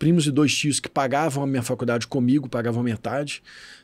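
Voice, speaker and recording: In a plain, everyday voice, a man speaks at a moderate pace and a medium pitch with ordinary pitch variation. The recording is very clean, with a silent background. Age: 40s. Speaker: financial education specialist. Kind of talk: podcast interview.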